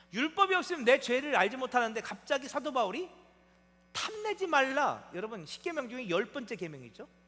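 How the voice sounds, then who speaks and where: Using a raised, projected voice, a man speaks at an extremely high pitch, with very wide pitch swings and big swings in loudness. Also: fairly quick pace. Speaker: pastor. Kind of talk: sermon. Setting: church. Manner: conversational, frequent rhetorical questions to congregation.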